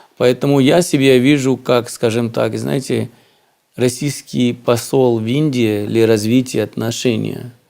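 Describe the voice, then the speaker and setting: A dark, mellow tone at a fairly slow pace with ordinary pitch variation. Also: man, medium pitch for a man. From India. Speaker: businessman. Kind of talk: interview. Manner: hesitant, many fillers.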